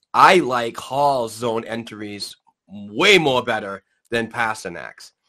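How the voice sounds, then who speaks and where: Very slowly and with ordinary pitch variation, a man speaks in a New England accent with a bright, sharp tone. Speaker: hockey podcast host. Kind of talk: casual sports talk. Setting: live stream.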